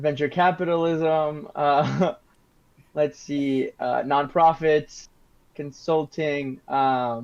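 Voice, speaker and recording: A man's fairly high voice with fairly even intonation. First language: Spanish. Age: 20s. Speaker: university student. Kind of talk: casual discussion. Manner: halting, many fillers.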